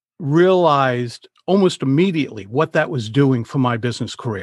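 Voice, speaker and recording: A man with a New England accent speaks in a medium pitch with ordinary variation at a moderate pace, the sound dry and close with no echo. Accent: New England American. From Rhode Island, US. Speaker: public speaking coach. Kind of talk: casual interview conversation.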